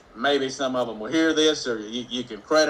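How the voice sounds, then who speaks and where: Ordinary pitch variation in a male voice, with noticeable background noise behind it. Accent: Mississippi. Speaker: economic development consultant and show host. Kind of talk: live morning show, casual talk. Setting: live video stream. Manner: conversational, with frequent fillers.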